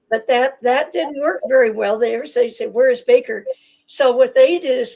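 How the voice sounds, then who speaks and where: Her voice high in pitch, a woman speaks with lively intonation. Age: 80s+. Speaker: author, self-described associate of a historical figure. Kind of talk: interview.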